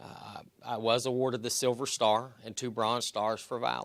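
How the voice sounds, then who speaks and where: A man's medium-pitched voice at a fairly slow pace with fairly even intonation, on a very clean recording with a silent background. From West Virginia. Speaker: army veteran. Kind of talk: public speech.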